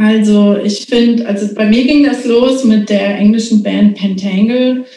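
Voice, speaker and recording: At a very slow pace, a woman talks in a medium pitch with monotone, flat intonation. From Hesse, Germany (rural, near Marburg). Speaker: artist and former hardcore punk singer. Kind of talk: casual interview.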